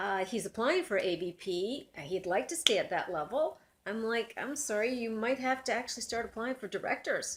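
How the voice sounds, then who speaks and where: A woman's fairly high voice, a normal speaking voice, at a moderate pace with lively intonation and hardly any pauses. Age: 60s. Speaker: career coach. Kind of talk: casual debate.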